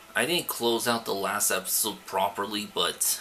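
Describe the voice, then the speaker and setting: With noticeable background noise behind him, a man speaks at a fairly slow pace. His pitch is fairly low. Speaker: let's play gamer. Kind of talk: gameplay commentary. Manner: soft-spoken; halting, frequent stammer.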